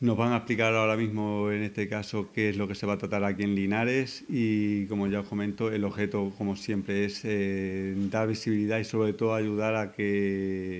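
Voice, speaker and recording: A man's flat, monotone delivery at a moderate pace. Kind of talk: press conference statement. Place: meeting room.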